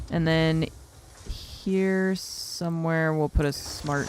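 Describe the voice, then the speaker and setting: Very slow speech plays out over noticeable background noise. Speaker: video game streamer. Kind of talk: gaming livestream commentary. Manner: halting, self-correcting.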